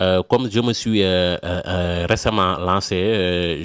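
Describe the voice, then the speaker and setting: In a very clean recording with a silent background and a dry, close sound with no echo, a man speaks very slowly in a very deep, low voice. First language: not French (speaking French). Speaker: email marketing freelancer, YouTuber. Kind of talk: channel introduction to camera. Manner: halting, many hesitations and repetitions.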